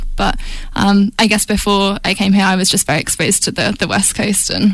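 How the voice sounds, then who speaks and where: Against noticeable background noise, a woman of medium pitch speaks at a fairly quick pace with very even loudness and a monotone, flat intonation. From England. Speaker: university student and student radio news anchor. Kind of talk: casual radio interview chat. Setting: radio studio. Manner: hesitant, many fillers.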